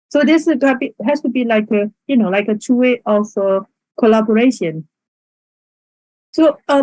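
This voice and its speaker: A woman speaks in a dark, mellow, somewhat breathy tone, fairly high in pitch with lively intonation, the sound dry and close with no echo. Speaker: invited conference speaker. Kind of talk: conference talk. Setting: virtual online event. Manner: halting, many fillers.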